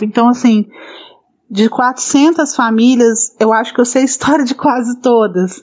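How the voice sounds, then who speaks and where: A woman talks at a fairly high pitch. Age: 40s. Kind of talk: interview.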